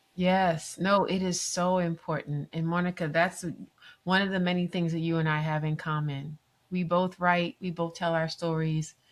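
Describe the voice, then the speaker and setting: A woman speaks at a moderate pace in a fairly low voice. Her intonation is monotone and flat. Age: 60s. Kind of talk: podcast interview.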